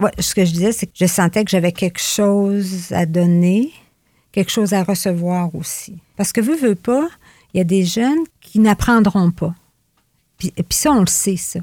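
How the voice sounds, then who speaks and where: Speaking at a fairly slow pace, a woman with a dark, mellow, somewhat breathy voice, medium pitch and ordinary pitch variation sounds dry and close with no echo on a very clean recording with a silent background. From Gaspé Peninsula, Quebec. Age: 60s. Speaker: retired youth rehabilitation worker. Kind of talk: casual interview.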